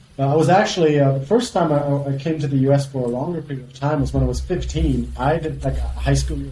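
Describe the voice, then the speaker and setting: With a German accent, a man rattles along at a very fast pace with hardly any pauses, over noticeable background noise. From Germany (Frankfurt). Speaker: company CEO. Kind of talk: podcast interview. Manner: halting, many fillers.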